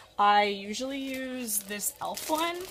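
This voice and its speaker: A woman talks with an American accent and lively intonation. Noticeable background noise sits behind her. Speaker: makeup vlogger. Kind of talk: casual makeup tutorial. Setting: bedroom at parents' house. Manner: loud; chatty, many fillers.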